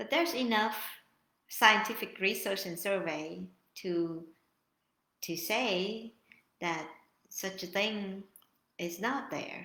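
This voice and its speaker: Using a non-native accent, a woman at medium pitch speaks at a very slow pace in a bright, sharp tone, with ordinary pitch variation and long, frequent pauses. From Vietnam. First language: Vietnamese. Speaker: YouTuber. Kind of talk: live stream monologue. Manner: halting.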